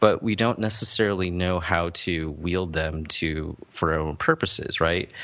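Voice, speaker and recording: Speaking at a moderate pace with hardly any pauses, a man with an American accent has a very deep, low pitch and fairly even intonation. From US Midwest. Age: 30s. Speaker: startup educator, former venture capital worker. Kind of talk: interview. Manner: halting, many fillers and restarts.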